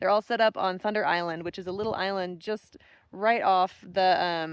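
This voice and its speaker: The sound is dry and close, with no echo. A woman of medium pitch talks at a moderate pace with fairly even intonation. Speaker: thru-hiker vlogger. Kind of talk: vlog narration.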